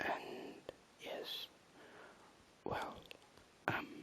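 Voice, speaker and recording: A man whispers. Noticeable noise sits in the background. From Germany. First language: German. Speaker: ASMR creator. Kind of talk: reading aloud; casual chat. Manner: whispering; halting.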